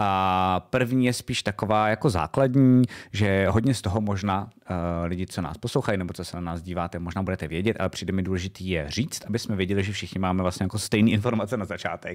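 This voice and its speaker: A man's very fast delivery at a fairly low pitch with ordinary pitch variation. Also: quiet background. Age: 30s. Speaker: streamer and vidcast host; streamer, vidcast host. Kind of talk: casual chat. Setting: home streaming studio. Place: home room. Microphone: studio mic.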